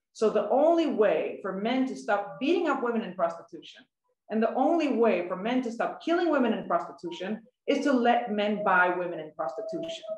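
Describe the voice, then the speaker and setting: In a room with audible echo, a woman talks at a fairly quick pace, her somewhat breathy voice swinging very widely in pitch. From Sweden. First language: Swedish. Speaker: journalist and writer; journalist. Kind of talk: prepared talk. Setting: online webinar from home. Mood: earnest, critical. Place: home room. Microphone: video call.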